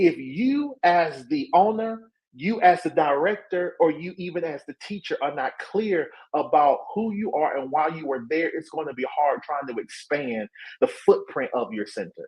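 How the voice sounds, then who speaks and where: In a slight Southern US accent, the speaker keeps a moderate pace. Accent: light Southern twang. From Alabama. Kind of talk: professional, instructive.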